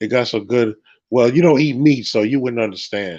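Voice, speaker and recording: A man with an ordinary speaking voice talks at a moderate pace in a medium pitch, with ordinary pitch variation over a quiet background. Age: 50s. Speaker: religious teacher. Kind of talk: casual chat. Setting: livestream.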